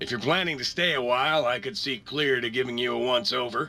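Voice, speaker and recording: In a raspy, put-on character voice, a man rattles off words at a very fast pace with medium pitch. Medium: video game. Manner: folksy, friendly.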